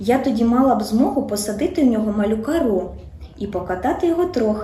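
What we hear is a natural reading voice.

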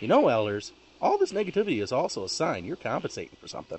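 A man puts on a character voice. He talks at a very fast pace. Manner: naive, preachy, whiny.

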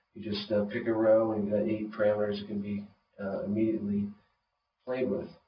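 Noticeable background noise around a man talking at a moderate pace. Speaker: synthesizer designer presenting his own instrument. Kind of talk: product demonstration. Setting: low-quality video recording with somewhat degraded audio. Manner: monotone, subdued; informal, explanatory, with filler words. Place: studio.

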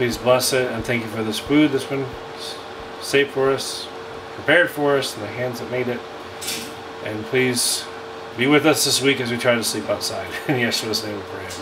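Over noticeable background noise, a man speaks at a moderate pace with fairly even intonation and long, frequent pauses. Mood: reverent, then light laughter. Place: tent. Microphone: phone near.

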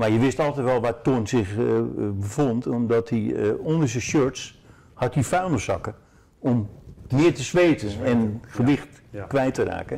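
The voice has a dark, mellow tone with vocal fry and moves at a fairly slow pace. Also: man. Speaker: former football player or coach. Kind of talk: interview answer. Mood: relaxed, reminiscing, humorous. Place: home room. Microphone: lapel.

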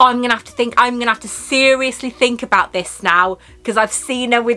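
A woman talks in a fairly high pitch. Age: 40s. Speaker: YouTuber. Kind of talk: product unboxing vlog. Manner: animated. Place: home room.

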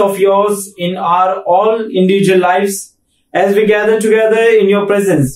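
The room echo is clearly audible. The delivery is monotone and flat at a moderate pace. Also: man. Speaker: pastor leading worship. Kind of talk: call to worship and prayer. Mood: calm, reverent. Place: home room.

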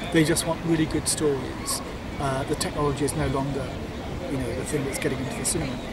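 A man talks at a very fast pace over loud background noise. The sound is dry, with no echo. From England. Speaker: animation studio co-founder and producer. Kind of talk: interview. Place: garden.

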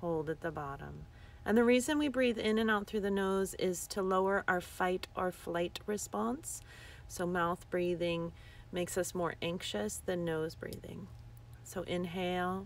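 A woman with a fairly low pitch speaks in a soothing tone with lively intonation, and the sound is dry with no echo. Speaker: yoga teacher. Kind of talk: guided breathing meditation, live-streamed with viewers greeting in. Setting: outdoors in the desert, livestream. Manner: slow, soothing breath cues with long pauses; gently repetitive, affirming mantra-like phrasing. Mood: calm, soothing. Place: open country. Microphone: phone near.

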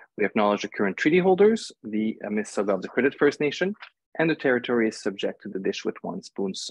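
Over a quiet background, a man talks fairly quickly with very wide pitch swings. The sound is dry, with no echo. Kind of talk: formal introduction. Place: home room. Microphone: earbuds.

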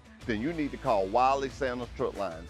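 A man is heard with faint music in the background. The sound is dry, with no echo. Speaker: company spokesperson. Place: street.

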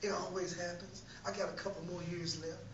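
Light background noise and audible room echo surround a man speaking at a high pitch. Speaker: preacher. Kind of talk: sermon testimony. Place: church. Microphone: camera far.

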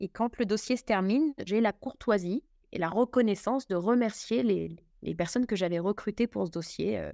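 A normal speaking voice moves at a fairly quick pace with ordinary pitch variation. The recording is very clean and dry, close and without echo, with a silent background. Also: woman. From Paris, France. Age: 40s. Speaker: bakery franchise manager. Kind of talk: interview conversation.

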